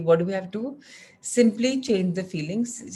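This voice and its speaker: Somewhat breathy and dark, mellow in tone, a woman talks at a fairly slow pace with ordinary pitch variation. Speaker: wellness group session leader. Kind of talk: group wellness coaching session.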